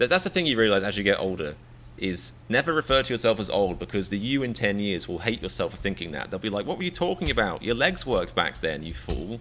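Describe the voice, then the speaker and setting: A man with an English accent talks at a very fast pace, animated in tone, with very wide pitch swings. His voice is bright and sharp, with vocal fry. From England. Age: 30s. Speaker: comedian reaction streamer. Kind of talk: live stream chat. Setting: live stream. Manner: stammering repetitions.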